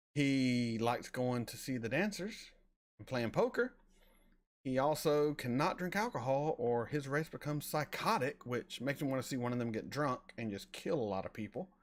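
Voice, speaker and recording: With a slight Southern US accent, a man at a medium pitch speaks at a moderate pace in an animated tone with lively intonation, on a very clean recording with a silent background. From US South, North Florida near Alabama. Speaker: reaction streamer. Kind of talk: live stream chat. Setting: live stream. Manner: casual, animated.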